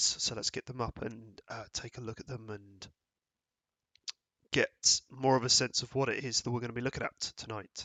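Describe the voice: A man uses a put-on character voice that sounds raspy. His pitch sits at medium and his intonation is monotone and flat.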